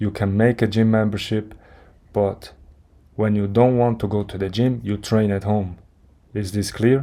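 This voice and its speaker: A man with a non-native accent speaks at a moderate pace with a fairly low pitch, a dark, mellow tone and monotone, flat intonation. He takes long, frequent pauses on a very clean recording with a silent background. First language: not English. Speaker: fitness content creator. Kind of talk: motivational monologue. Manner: halting, with restarts.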